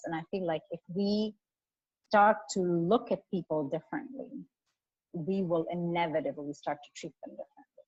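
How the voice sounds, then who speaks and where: A woman at medium pitch and a moderate pace. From India. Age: 40s. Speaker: photographer and activist. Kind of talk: interview conversation.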